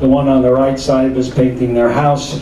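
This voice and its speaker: A man speaks at a medium pitch. Noticeable background noise and audible room echo are present. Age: 70s. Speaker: illness survivor panelist. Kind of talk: testimony.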